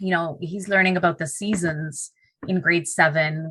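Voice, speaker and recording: In a flat monotone, a woman speaks at a fairly low pitch on a very clean recording with a silent background. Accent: Punjabi. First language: Punjabi. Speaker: teacher. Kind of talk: podcast interview. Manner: halting, many fillers.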